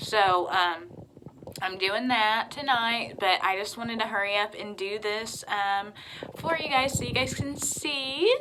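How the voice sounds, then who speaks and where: Noticeable background noise sits behind a woman speaking at a very slow pace. Her pitch is fairly high. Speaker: vlogger. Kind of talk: casual chat.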